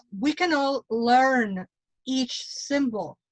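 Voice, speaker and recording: A woman with a high pitch and a Mexican accent speaks with lively intonation, in a dry, close sound with no echo. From Mexico. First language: Spanish. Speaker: tarot reader and witch. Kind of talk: casual panel discussion.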